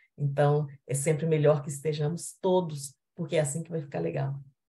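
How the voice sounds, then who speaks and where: This woman has a very deep, low pitch and a dark, mellow tone, speaking at a moderate pace with monotone, flat intonation and a somewhat breathy quality. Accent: Minas Gerais. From Minas Gerais, Brazil. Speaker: panelist. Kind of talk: panel discussion.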